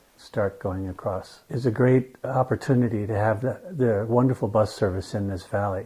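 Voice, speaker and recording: A man talks with a dark, mellow tone. There is some breathiness in his voice. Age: 60s. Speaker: legally blind resident. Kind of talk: interview testimony.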